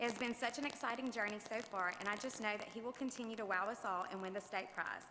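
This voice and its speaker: A woman with a fairly high pitch talks at a very fast pace with hardly any pauses. Her intonation is fairly even, and there is audible room echo. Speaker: teacher. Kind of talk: prepared speech at school board meeting. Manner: loud.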